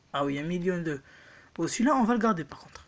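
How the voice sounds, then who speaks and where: The woman speaks at a moderate speed. Her pitch moves across a very wide range. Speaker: mobile gaming youtuber. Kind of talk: gameplay commentary, pack opening.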